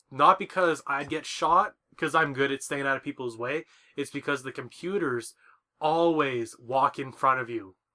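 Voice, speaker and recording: Loud and fairly high in pitch, a man's bright, sharp voice comes through on a very clean recording with a silent background. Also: ordinary pitch variation, moderate pace. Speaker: podcast co-host. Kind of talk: casual chat.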